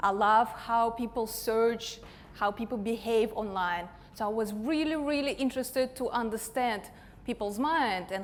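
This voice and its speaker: With an Eastern European accent, a woman talks at a moderate pace in a fairly high pitch with ordinary pitch variation. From Russia. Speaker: digital marketing consultant. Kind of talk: conference talk.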